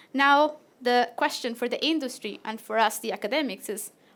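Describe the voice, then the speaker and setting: Lively intonation and a moderate pace mark this voice with a Latin American accent, captured in a very clean recording with a silent background. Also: woman. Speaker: PhD researcher. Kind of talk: presentation.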